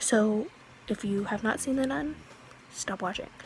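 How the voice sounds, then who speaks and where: Noticeable background noise runs behind a woman whose pitch variation is ordinary. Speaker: youtuber, movie reviewer. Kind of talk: casual movie review vlog. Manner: hesitant, many fillers.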